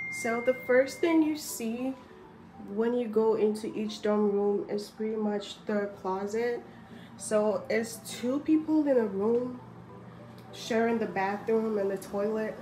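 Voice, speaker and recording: Music plays in the background as a woman talks at a very slow pace. Her pitch is fairly high, with ordinary pitch variation. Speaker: navy sailor. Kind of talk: casual talk to camera.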